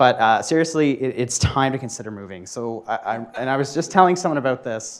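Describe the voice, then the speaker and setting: A man with a Canadian accent speaks at medium pitch in a normal speaking voice, with ordinary pitch variation, hardly any pauses and big swings in loudness, on a very clean recording with a silent background. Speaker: software developer, conference speaker. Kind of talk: tech meetup talk. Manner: casual, many fillers and restarts.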